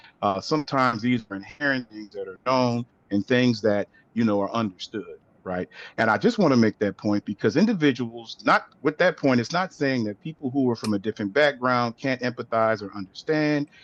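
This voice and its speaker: In a Louisiana accent, a man talks at a fairly quick pace with ordinary pitch variation. The sound is dry and close with no echo, over a quiet background. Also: medium pitch for a man. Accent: Southern US, Louisiana. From US South, Louisiana, near New Orleans. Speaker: aphasia researcher. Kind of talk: webinar presentation. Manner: frequent fillers, says right? often.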